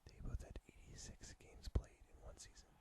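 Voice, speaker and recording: The speaker is a man whispering. He keeps a moderate pace. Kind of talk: ASMR whispered fact reading. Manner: whispered, soft-spoken.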